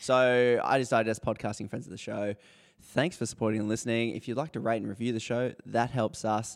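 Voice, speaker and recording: Recorded very cleanly with a silent background, a man speaks with an Australian accent. His medium pitch, fairly quick pace and fairly even intonation hold throughout. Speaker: podcast co-host. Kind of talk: casual chat. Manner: laughs often.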